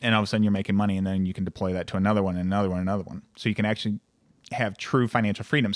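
A man with a fairly low pitch is heard on a very clean recording with a silent background and a dry, close sound with no echo. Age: 20s. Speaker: insurance agent and business owner. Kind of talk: casual interview chat.

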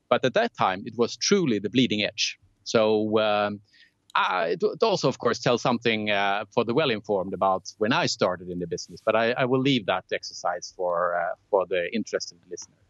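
A man's fairly low voice at a fairly quick pace, with ordinary pitch variation. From southern Sweden (Lund). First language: Swedish. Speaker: telecom technology executive. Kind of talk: interview.

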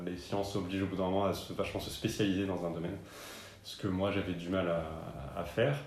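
A man's voice with audible room echo. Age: 30s. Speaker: local newspaper journalist. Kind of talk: interview. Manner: hesitant, many fillers.

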